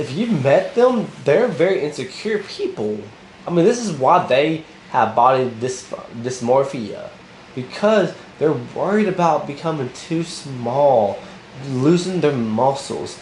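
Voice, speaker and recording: Over noticeable background noise and audible room echo, a man with a fairly high pitch speaks fairly slowly, with lively intonation and an animated tone. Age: 30s. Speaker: motivational vlogger. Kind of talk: unscripted motivational monologue. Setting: recording to camera.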